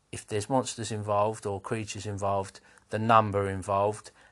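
A man's fairly low pitch in a monotone, flat intonation. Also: quiet background. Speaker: podcast host, tabletop RPG game master. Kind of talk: casual solo podcast talk. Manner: halting, many fillers and restarts.

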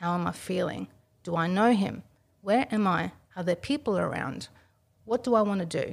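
A woman speaks at a moderate pace in an Australian accent. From Australia, Italian immigrant family. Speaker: self-defense trainer. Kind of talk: interview.

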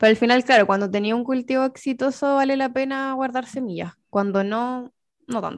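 A woman with a Chilean accent speaks at a moderate pace in a high voice, with fairly even intonation and a quiet background. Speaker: podcast co-host, gardening expert. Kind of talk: casual chat.

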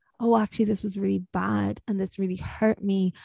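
In a very clean recording with a silent background and a dry, close sound with no echo, a woman speaks with an Irish accent. Her tone is dark and mellow, and her pitch sits at a medium level. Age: 20s. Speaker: podcast host. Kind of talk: casual chat.

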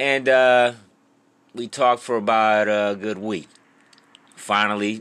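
Bright, sharp and animated, a man's voice sits at a fairly low pitch. His pitch variation is ordinary. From US inner city. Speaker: podcast host and rapper. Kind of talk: casual storytelling monologue.

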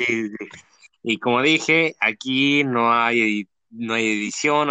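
A man speaks in a bright, sharp tone, recorded dry and close with no echo. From Mexico, Tijuana. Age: 20s. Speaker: podcast host. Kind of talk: casual interview. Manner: halting, many fillers.

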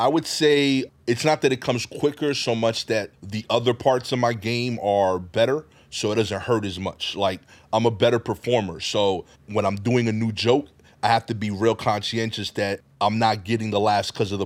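A speaker with a Brooklyn accent talks at a moderate pace with ordinary pitch variation. The recording is very clean, with a silent background. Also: man, medium pitch for a man. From Brooklyn, New York (East New York). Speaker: comedian. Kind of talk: casual chat.

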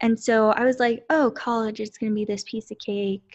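Against a quiet background, a woman with a plain, everyday voice speaks at a fairly slow pace, her fairly high pitch held in fairly even intonation. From Central Texas, US. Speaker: counselor, podcast host. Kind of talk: casual chat.

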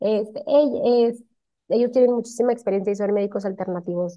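A woman speaks with a normal speaking voice at a medium pitch. Her intonation is fairly even and her pace moderate. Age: 30s. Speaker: cosmetologist. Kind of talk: casual interview.

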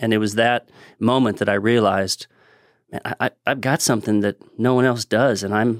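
A man with an American accent at a moderate pace, medium pitch, fairly even intonation, a dry, close sound with no echo, and a very clean recording with a silent background. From Southern California. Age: 50s.

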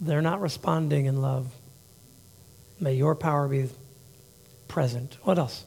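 In a room with audible echo, a man with a fairly high pitch and ordinary pitch variation talks at a fairly slow pace, somewhat breathy, with very even loudness, long, frequent pauses and a dark, mellow tone. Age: 50s. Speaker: pastor. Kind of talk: sermon. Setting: church. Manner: halting.

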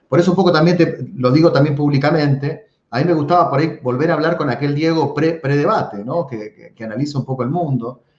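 Rushing at a very fast pace with hardly any pauses, a man sounds somewhat breathy, his loudness swinging widely and his pitch varying in an ordinary way. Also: fairly high pitch for a man. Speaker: podcast host. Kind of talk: casual interview chat.

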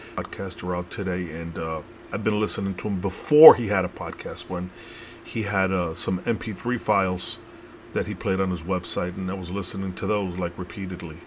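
A man's very deep, low voice with an American accent over noticeable background noise. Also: moderate pace. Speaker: podcast host. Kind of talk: casual podcast intro and commentary. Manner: casual, enthusiastic, filler-heavy.

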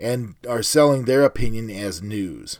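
This man has an American accent and a medium pitch, with lively intonation. The recording is very clean, with a silent background. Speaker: podcast host. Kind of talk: angry rant read aloud from a written Facebook post, fiery and indignant. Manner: impassioned, indignant, sarcastic and pointed.

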